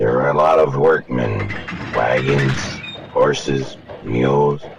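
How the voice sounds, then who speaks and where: A booming put-on character voice from a man, at a fairly slow pace. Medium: read story.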